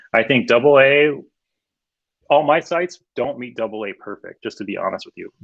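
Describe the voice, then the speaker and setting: The man speaks at a fairly quick pace. He uses lively intonation. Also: dry, close sound with no echo. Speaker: web designer. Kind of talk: meetup presentation Q&A. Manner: fast.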